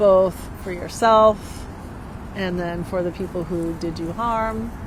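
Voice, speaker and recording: A woman speaks very slowly at a medium pitch with fairly even intonation over noticeable background noise. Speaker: psychic medium and life coach. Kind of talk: casual talk to camera. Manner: conversational, warm.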